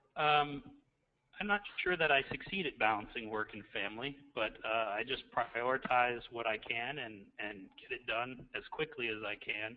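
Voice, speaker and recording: A man talks at a medium pitch, varying it in an ordinary way. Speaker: school principal, doctoral student. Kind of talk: self-introduction in webinar. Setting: online webinar from office. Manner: quiet. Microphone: faint, too quiet.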